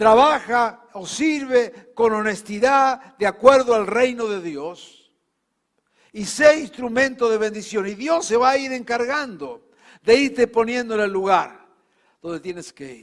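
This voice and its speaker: A man with a Rioplatense accent, high in pitch, lively in intonation, at a fairly slow pace, with big swings in loudness. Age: 70s. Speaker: pastor. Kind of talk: sermon.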